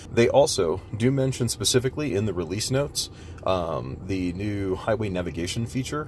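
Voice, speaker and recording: A man talks at a fairly low pitch. The sound is dry with no echo, over light background noise. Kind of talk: tutorial walkthrough. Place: car. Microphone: phone near.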